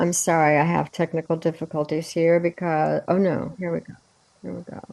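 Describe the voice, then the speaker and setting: A woman talks at a fairly low pitch and a fairly quick pace. Her intonation stays monotone and flat. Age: 70s. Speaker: astrologer. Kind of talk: video call presentation explaining astrology. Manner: halting.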